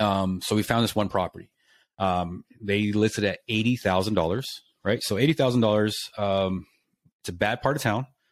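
On a very clean recording with a silent background, a man with an American accent and fairly low pitch speaks in a plain, everyday voice at a moderate pace with ordinary pitch variation. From Lubbock, Texas. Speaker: realtor and lender. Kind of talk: casual chat.

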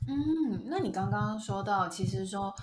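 At a fairly slow pace, a woman talks in a medium pitch amid audible room echo. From Taiwan. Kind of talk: casual chat. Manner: animated.

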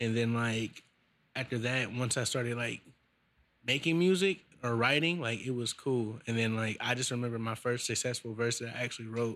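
A man with an American accent and an unremarkable speaking voice, medium in pitch, talks at a fairly quick pace. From US West Coast, Vallejo, Bay Area California. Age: 20s. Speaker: musician. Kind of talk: casual interview. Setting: studio.

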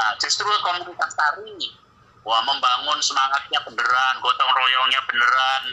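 A man speaks at a moderate pace against noticeable background noise. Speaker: Islamic cleric and educator. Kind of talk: casual chat. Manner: loud.

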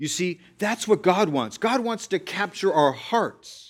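Vocal fry at a very slow pace, on a very clean recording with a silent background. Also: man. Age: 50s. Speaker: pastor. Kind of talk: sermon.

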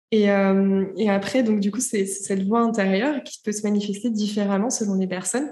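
A woman's somewhat breathy voice with a dark, mellow tone, medium pitch and fairly even intonation, at a fairly quick pace. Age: 20s. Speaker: entrepreneur and podcaster. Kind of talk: interview. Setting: remote call.

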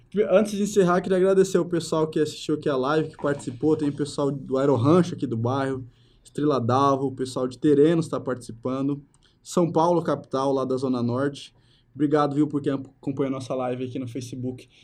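Moving at a fairly quick pace, a man has an ordinary speaking voice. He sits at a fairly high pitch and uses ordinary pitch variation. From Brazil, Mato Grosso do Sul (Itaquiraí). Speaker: podcast host, journalist. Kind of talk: casual interview. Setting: studio, live videocast.

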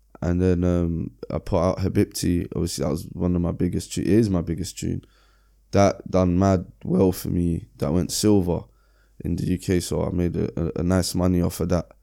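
On a very clean recording with a silent background, a man speaks in a very deep, low voice with a dark, mellow tone and fairly even intonation. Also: moderate pace. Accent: London. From London (Brixton). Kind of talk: casual interview chat.

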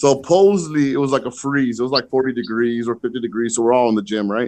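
In an American accent, a man speaks at a fairly quick pace with medium pitch and a normal speaking voice. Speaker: podcast guest. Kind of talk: casual chat.

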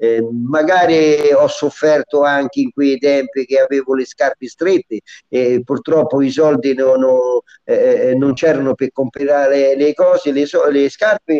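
Speaking at a fairly slow pace, a man with a fairly high pitch and a dark, mellow tone keeps fairly even intonation and very even loudness, recorded dry and close with no echo. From central Italy, Lubriano (Viterbo). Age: 70s. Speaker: dialect poet. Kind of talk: reminiscing interview.

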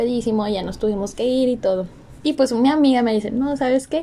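A woman with a Mexican accent, high in pitch, with ordinary pitch variation at a moderate pace, over noticeable background noise. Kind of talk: casual chat.

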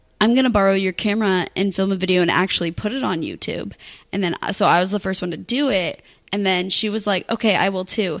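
Medium in pitch, a woman speaks at a very fast pace with fairly even intonation. The recording is very clean, with a silent background. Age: 20s. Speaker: YouTuber. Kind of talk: casual chat.

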